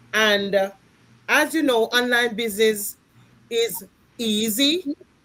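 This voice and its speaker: A woman at a fairly slow pace with lively intonation, over noticeable background noise. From Jamaica. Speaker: home health aide and online business owner. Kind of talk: live-stream panel hosting.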